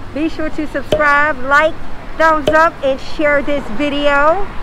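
A woman speaks at a fairly slow pace in a raised, projected voice, with noticeable background noise behind her. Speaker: travel vlogger. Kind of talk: casual vlog chat. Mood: cheerful, upbeat. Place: street. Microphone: phone near.

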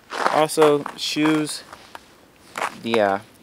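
Loud background noise surrounds a man with an American accent, the sound dry with no echo. His pitch swings very widely. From United States. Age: 20s. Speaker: travel vlogger. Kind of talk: casual talk to camera. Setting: outdoors. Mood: relaxed, curious. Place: open country. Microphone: phone near.

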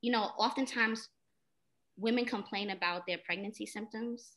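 A woman talks at a moderate pace in a bright, sharp tone with ordinary pitch variation. The background is quiet. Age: 30s. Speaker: elementary school teacher. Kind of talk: personal testimony. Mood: earnest personal storytelling. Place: home room. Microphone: video call.

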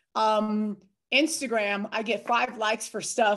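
Using a normal speaking voice, a woman talks with a fairly high pitch. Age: 40s. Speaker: online fitness and nutrition coach. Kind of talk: casual group call chat. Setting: video call.

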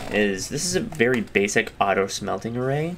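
Noticeable background noise behind a man's medium-pitched voice, moderate in pace, with very wide pitch swings. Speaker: gaming YouTuber. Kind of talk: casual gameplay commentary. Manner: animated, chatty.

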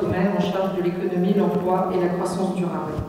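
A woman speaks amid strong room echo. Light background noise is present. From southwestern France (Bordeaux, Charente-Maritime). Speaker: politician, regional list leader. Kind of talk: campaign speech. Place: hall.

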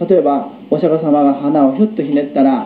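Noticeable background noise and audible room echo surround the speaker. He is a man with a high-pitched voice. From Japan, Hagi, Yamaguchi. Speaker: Buddhist lecturer. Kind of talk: Buddhist lecture.

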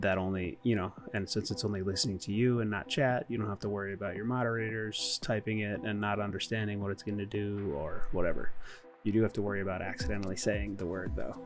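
A man with a fairly low voice talks very fast, his pitch moving in an ordinary way over noticeable background noise. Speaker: streamer giving a tutorial. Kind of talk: tutorial.

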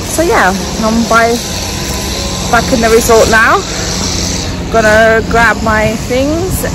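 Noticeable background noise sits under a dry sound with no echo. A woman speaks at a fairly slow pace. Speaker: travel vlogger. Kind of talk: casual vlog chat. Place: street. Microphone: phone near.

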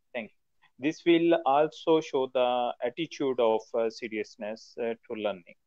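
Over a quiet background, a man speaks at a medium pitch and fairly slow pace with ordinary pitch variation. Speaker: trainee. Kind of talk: online class discussion. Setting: video call. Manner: halting. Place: home room. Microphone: video call.

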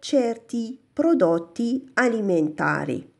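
A woman speaks at a very slow pace with a fairly high pitch and very wide pitch swings. The background is quiet. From Morocco. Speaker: language teacher. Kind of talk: tutorial. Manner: slow, repeating Italian phrases. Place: shop. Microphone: phone near.

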